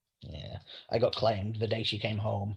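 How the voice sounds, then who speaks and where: Over a quiet background, a man talks at a fairly low pitch with fairly even intonation and a somewhat breathy sound. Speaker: writer. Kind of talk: interview.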